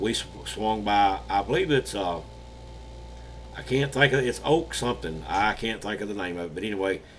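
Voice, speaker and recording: With an Alabama accent, a man talks at a moderate pace and with lively intonation. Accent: Southern US (Alabama). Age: 60s. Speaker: paranormal channel host and storyteller. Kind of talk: casual storytelling. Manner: halting, frequent uh fillers.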